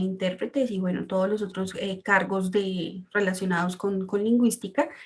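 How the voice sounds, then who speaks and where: In a Colombian accent, a woman talks at a medium pitch with fairly even intonation. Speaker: translator and interpreter. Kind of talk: presentation talk. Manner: hesitant, many fillers.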